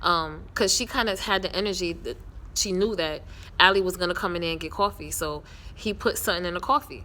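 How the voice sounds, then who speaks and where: This woman speaks loudly at a medium pitch, her tone bright and sharp. Her delivery is animated. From New York. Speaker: TV series reviewer, vlogger. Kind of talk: casual show recap. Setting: outdoors.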